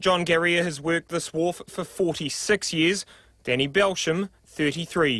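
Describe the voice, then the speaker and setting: With a New Zealand accent, the speaker uses a bright, sharp tone, fairly even intonation and a fairly slow pace. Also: man, high pitch for a man. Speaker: TV news reporter. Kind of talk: news report.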